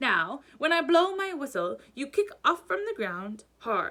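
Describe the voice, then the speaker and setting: Using a put-on character voice, a woman speaks at a fairly slow pace, high in pitch with very wide pitch swings. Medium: read story. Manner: barking, brisk.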